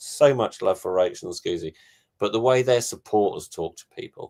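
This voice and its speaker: This is a man talking. His accent is English. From England. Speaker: touring performer. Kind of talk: casual chat.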